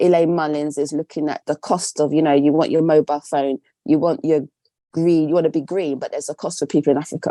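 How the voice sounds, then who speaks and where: In an English accent, a woman speaks at a fairly quick pace with a very deep, low pitch and fairly even intonation. Her tone is dark and mellow, and the sound is dry and close with no echo. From England. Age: 60s. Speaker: textile artist. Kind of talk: interview. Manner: conversational.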